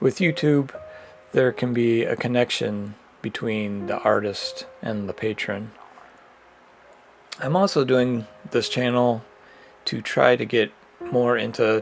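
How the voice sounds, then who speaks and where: Music plays in the background as a man speaks. His pace is fairly slow, with long, frequent pauses. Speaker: digital illustrator and art channel host. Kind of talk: casual talk over drawing, loosely scripted. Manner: hesitant with fillers.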